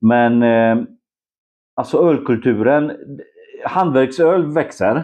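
A man's medium-pitched voice at a very slow pace, broken by long, frequent pauses. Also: ordinary pitch variation. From Poland, Szczecin. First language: Polish (speaking Swedish). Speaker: homebrewer and photographer. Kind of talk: casual chat. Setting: at his home.

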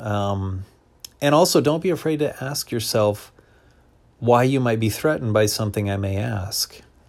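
A fairly low-pitched man with an American accent, moderate pace and ordinary pitch variation. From US. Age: 40s. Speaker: podcaster. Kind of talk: solo podcast monologue. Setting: at home, lying down. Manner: halting, many fillers.

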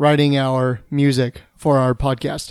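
A man speaks in an animated tone. His delivery is full of energy. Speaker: podcast host. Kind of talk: casual banter chat. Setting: drinking during recording. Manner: jokey, animated.

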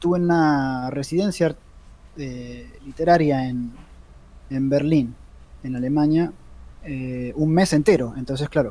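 Speaking with a Rioplatense accent, a man talks fairly slowly at a fairly high pitch with ordinary pitch variation and long, frequent pauses. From Argentina. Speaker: comics podcast co-host and comic artist. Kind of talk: casual chat.

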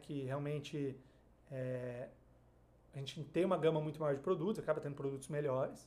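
A man speaks with fairly high pitch at a moderate pace. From Brazil, Marília (São Paulo interior). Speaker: investment advisor. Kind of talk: podcast interview.

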